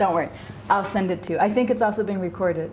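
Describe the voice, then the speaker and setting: A woman's fairly quick speech with ordinary pitch variation and audible room echo. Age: 50s. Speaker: psychologist teaching a class. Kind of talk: lecture. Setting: class with students. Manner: fast; casual, conversational.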